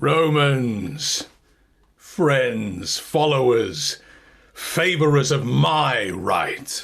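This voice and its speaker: Using a raspy, put-on character voice at medium pitch, a man speaks at a very slow pace with lively intonation. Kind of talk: Shakespeare staged reading.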